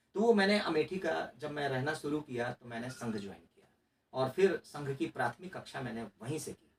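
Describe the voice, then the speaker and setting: A man with a Bihar accent speaks with lively intonation. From Mithila region, Bihar, India. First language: Maithili (speaking Hindi). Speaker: RTI activist and former election candidate. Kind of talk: interview. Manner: hesitant, with fillers and restarts.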